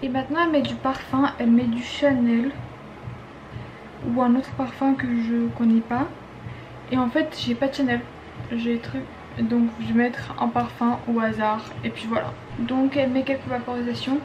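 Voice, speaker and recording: Speaking at a fairly slow pace, a woman leaves long, frequent pauses amid noticeable background noise. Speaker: beauty and lifestyle vlogger. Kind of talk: casual vlog tutorial. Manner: casual, hesitant with frequent fillers.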